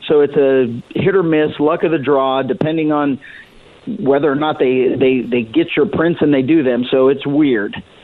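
Over noticeable background noise, a man talks at a moderate pace with a fairly high pitch, ordinary pitch variation and very even loudness. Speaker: county sheriff. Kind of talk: radio interview.

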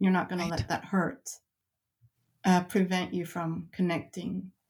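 Recorded very cleanly against a silent background, a woman talks at a moderate pace in a somewhat breathy voice of medium pitch. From mixed heritage, moved around as a child. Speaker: researcher and author. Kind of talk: interview.

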